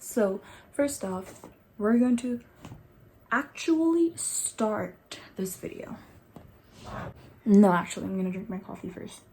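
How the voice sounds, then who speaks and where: A dark, mellow tone, somewhat breathy. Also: woman. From Nepal. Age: 20s. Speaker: beauty vlogger. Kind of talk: casual chat. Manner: casual.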